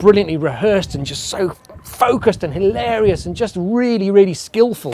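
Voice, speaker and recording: A man with a high-pitched voice talks at a moderate pace over noticeable background noise. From England. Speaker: comedy promoter. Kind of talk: documentary interview.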